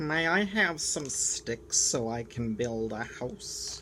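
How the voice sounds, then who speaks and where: Over clear background noise, a man puts on a character voice with fairly high pitch. He speaks at a very slow pace. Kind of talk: children's story read-aloud. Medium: read story.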